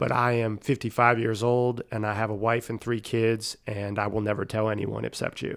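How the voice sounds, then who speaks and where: Fairly quick speech in an American accent with monotone, flat intonation, on a very clean recording with a silent background. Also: man. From Pennsylvania (Erie). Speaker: sports coach, podcast guest. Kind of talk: interview.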